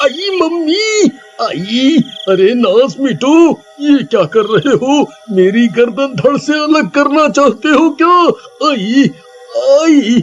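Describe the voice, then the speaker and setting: Using a cartoonish character voice, a man speaks at an extremely high pitch and a fairly slow pace, with long, frequent pauses. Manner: panicked, pleading.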